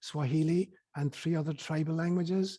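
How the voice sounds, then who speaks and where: A man with an Irish accent speaks at a fairly high pitch in a dark, mellow tone. The recording is very clean, with a silent background. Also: dry, close sound with no echo. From Ireland, County Cork. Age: 70s. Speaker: spiritual teacher and priest. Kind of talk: interview.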